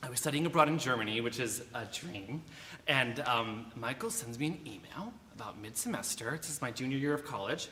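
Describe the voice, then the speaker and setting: Over noticeable background noise and audible room echo, a man speaks at a fairly quick pace in a fairly high pitch with very wide pitch swings. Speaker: violin soloist. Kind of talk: speech to a concert audience. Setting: church concert stage with audience. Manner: halting, many fillers. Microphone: no microphone, later declined.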